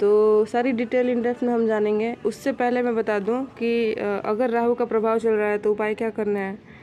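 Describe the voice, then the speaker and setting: The voice has a dark, mellow tone and monotone, flat intonation. It moves at a moderate pace with hardly any pauses. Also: woman, fairly high pitch for a woman. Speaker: astrologer. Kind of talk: monthly horoscope talk. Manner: halting, many fillers; soft-spoken.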